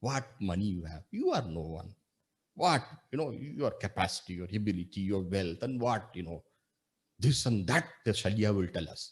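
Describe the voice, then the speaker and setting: A man's fairly low, somewhat breathy voice at a moderate pace, with lively intonation. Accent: Tamil. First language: Tamil. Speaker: monk and spiritual teacher. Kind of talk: spiritual discourse. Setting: video call.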